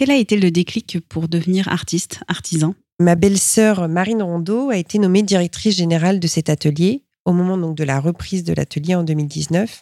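A woman's dark, mellow voice, fairly low in pitch, at a moderate pace with ordinary pitch variation, dry and close with no echo. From France, Reims area. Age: 40s. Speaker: glass artist and artistic director. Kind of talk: interview. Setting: glass workshop library. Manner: hesitant with repetitions.

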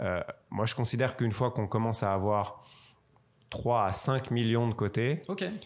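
On a very clean recording with a silent background, a man speaks at a medium pitch and a moderate pace. His pitch varies in an ordinary way, with long, frequent pauses. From Strasbourg, Alsace, France. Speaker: wealth manager and football club shareholder. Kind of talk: interview.

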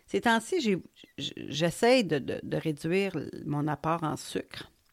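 This woman talks at a very slow pace in a Quebec accent with fairly low pitch. The recording is very clean, with a silent background. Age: 50s. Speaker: podcaster. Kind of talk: personal monologue. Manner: conversational, hesitant.

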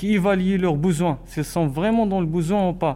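A man speaks at a high pitch in a dark, mellow tone. His pitch variation is ordinary and his pace fairly slow. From Morocco. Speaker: student volunteer. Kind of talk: interview. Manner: halting.

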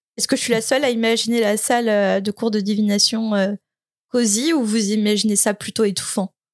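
A quiet backdrop behind plain reading aloud, the intonation fairly level throughout

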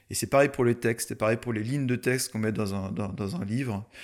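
In a very clean recording with a silent background, a man uses an ordinary speaking voice at medium pitch, talking at a fairly quick pace with fairly even intonation. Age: 30s. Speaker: mountain photographer. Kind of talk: casual interview. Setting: in person at guest's home town.

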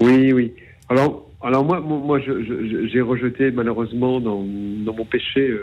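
Very slowly, a man delivers his words at a medium pitch, varying it in an ordinary way. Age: 40s. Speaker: caller. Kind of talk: testimony. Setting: phone call. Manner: halting, repeating words.

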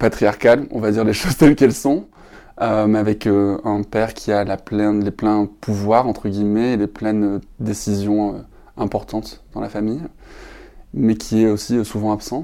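The speech comes at a fairly slow pace with fairly even intonation, on a very clean recording with a silent background. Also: man, fairly low pitch for a man. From southern France, Perpignan. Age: 30s. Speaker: LGBT and climate activist, illustrator and author. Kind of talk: podcast interview. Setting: hotel room. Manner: hesitant, many fillers.

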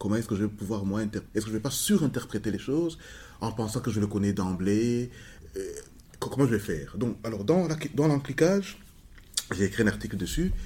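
Using lively intonation at medium pitch, a man speaks at a fairly quick pace with long, frequent pauses. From Rwanda. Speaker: sociologist. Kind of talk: interview. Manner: halting.

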